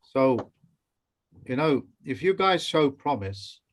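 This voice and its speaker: A man with an English accent at a fairly slow pace. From England. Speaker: teacher. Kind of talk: online training session. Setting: video call.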